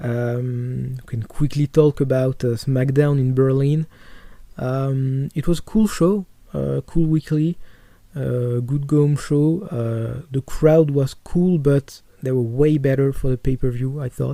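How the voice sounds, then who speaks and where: With a strong French accent, a man speaks at a fairly slow pace and medium pitch, his tone dark and mellow and his intonation fairly even. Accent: French accent, self-described as strong. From France. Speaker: wrestling podcaster. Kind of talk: casual podcast monologue. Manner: halting, many fillers and repetitions.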